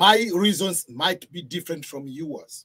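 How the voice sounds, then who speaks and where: A high-pitched man with a Tanzanian accent, at a fairly slow pace and with ordinary pitch variation. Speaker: video blogger. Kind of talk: storytelling monologue.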